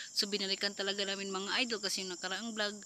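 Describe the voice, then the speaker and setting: A quiet woman at a very fast pace, her pitch medium. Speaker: vlogger, ghost hunter. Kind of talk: ghost hunting vlog. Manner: quiet, lowered voice.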